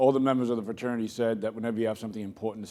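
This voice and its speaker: In a Boston accent, the speaker uses a dark, mellow tone and fairly even intonation. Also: man. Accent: Boston accent, noticeable. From Boston, Massachusetts. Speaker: keynote speaker, corporate executive. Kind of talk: keynote speech. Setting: conference stage with audience. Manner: halting, many fillers.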